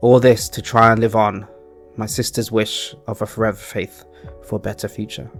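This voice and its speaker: A man speaks in a calm tone at a fairly quick pace, his intonation fairly even. Music plays in the background. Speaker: storyteller / channel host. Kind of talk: fantasy story narration. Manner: calm, relaxing.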